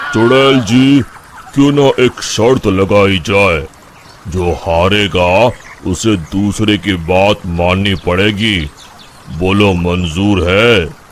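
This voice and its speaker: A man does a cartoonish character voice at a very slow pace with fairly low pitch. The loudness is very even, and background noise is clear. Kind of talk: cartoon voice acting. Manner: calm, measured.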